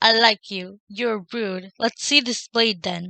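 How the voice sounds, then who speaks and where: In a put-on character voice, a woman growls at a fairly slow pace with a fairly high pitch. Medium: read story. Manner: snarling, cranky.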